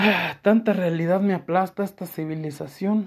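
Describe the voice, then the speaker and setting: At a fairly slow pace, a man speaks with ordinary pitch variation in a very clean recording with a silent background. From Mexico, León, Guanajuato. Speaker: podcaster. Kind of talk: personal monologue of reflections.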